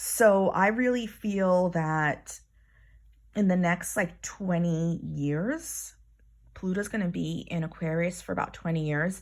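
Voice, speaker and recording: In a very clean recording with a silent background, a woman with an American accent and a fairly low pitch speaks very slowly, with ordinary pitch variation. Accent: Bronx accent, slight, comes out at times. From New York, Bronx. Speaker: astrologer and hypnosis teacher. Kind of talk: spiritual card reading monologue. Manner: casual, halting with self-corrections.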